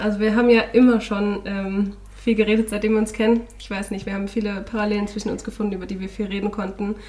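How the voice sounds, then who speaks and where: The speech moves at a very fast pace with monotone, flat intonation and big swings in loudness. Noticeable background noise runs underneath. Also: woman, medium pitch for a woman. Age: 20s. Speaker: podcast co-host, student teacher. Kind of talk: casual chat.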